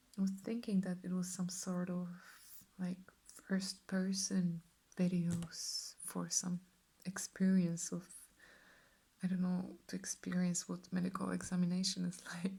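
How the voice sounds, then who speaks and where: A soft-spoken woman talks at a fairly slow pace with a medium pitch and a relaxed tone. Her voice is somewhat breathy and dark and mellow, with monotone, flat intonation. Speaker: ASMR artist. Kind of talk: ASMR Q&A answers to camera. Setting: studio, close microphone. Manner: soft-spoken, relaxed.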